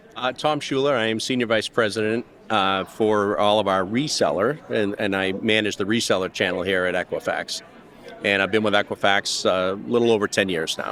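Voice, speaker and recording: A man with a Boston accent at a fairly quick pace. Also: fairly low pitch for a man, ordinary pitch variation. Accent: thick Boston. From US Northeast, Boston. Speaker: business executive. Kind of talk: panel discussion. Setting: conference, recorded live.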